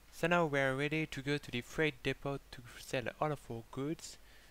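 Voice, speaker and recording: On a very clean recording with a silent background, a man talks in a French accent. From France. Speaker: gaming YouTuber. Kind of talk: gameplay commentary. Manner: halting, many filler words.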